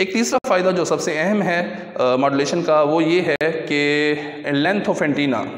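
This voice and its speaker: Through noticeable background noise and audible room echo, a man with a fairly high pitch speaks with ordinary pitch variation. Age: old. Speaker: teacher. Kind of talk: lecture.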